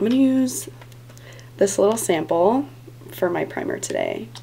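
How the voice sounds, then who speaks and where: This is a woman's voice. Noticeable background noise runs behind it. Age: 20s. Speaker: beauty vlogger. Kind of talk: tutorial. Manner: casual, filler-heavy.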